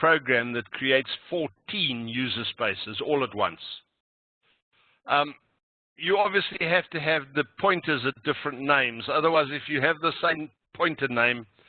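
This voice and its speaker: Speaking with a fairly high pitch, a man shows ordinary pitch variation. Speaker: programming instructor. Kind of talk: lecture. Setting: online meeting recording. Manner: slow, deliberate.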